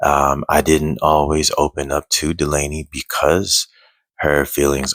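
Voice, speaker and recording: A man speaks quietly at a very slow pace, his very deep, low pitch carrying vocal fry, with a dry, close sound that has no echo. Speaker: single father vlogger. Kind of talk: personal vlog. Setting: at home at night. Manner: quiet, low voice; halting, many fillers.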